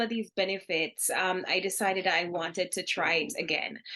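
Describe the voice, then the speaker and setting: With a Jamaican accent, a woman speaks at a moderate pace in a bright, sharp tone. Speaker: business founder. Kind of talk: interview.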